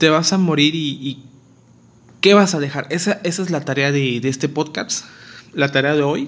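Speech goes at a medium tempo. Frequent long pauses interrupt it. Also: man, fairly high pitch for a man, ordinary pitch variation. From Mexico, Acapulco, Guerrero. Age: 20s. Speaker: dental student and podcaster. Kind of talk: casual monologue. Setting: alone at home.

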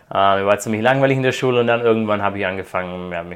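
With fairly even intonation and a fairly low pitch, a man speaks at a very fast pace. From Croatia (raised by German parents). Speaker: PhD student in quantum computing. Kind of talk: interview. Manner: hesitant, many fillers.

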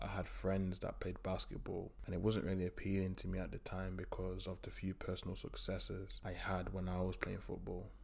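A man with an East Midlands accent talks at a fairly quick pace. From East Midlands, England. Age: 20s. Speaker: strength and conditioning coach. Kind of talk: solo podcast monologue.

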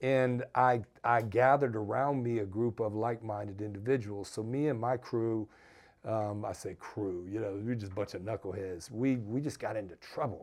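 An ordinary speaking voice from a man, medium in pitch and moderate in pace, over a quiet background. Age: 50s. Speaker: podcast host and youth peace program leader. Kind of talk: personal testimony monologue.

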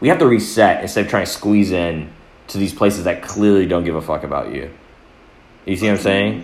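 Audible room echo surrounds a man with a fairly low pitch. He talks at a fairly quick pace with ordinary pitch variation. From US, born in Atlanta to Eritrean parents. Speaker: photographer. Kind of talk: casual chat.

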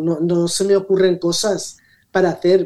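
A woman speaks at a fairly slow pace. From Valencia region, Spain (Rocafort). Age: 60s. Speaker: social media influencer. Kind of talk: radio interview.

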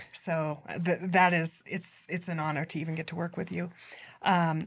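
A woman's fairly low, a plain, everyday voice at a moderate pace, with fairly even intonation on a very clean recording against a silent background. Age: 40s. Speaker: leadership podcast host. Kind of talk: interview.

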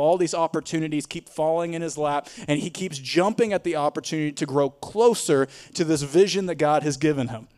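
Speaking in a Tennessee accent at a fairly high pitch, a man moves at a fairly quick pace with ordinary pitch variation in a dry, close sound with no echo. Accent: Southern US (Tennessee). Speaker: pastor. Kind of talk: sermon. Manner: animated.

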